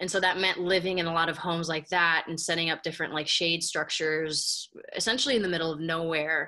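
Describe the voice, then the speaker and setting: Her tone bright and sharp, a woman with an American accent keeps a fairly low pitch and fairly even intonation against a quiet background. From Minnesota, Minneapolis. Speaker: multidisciplinary artist. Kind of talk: illustrated talk. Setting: video call. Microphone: webcam.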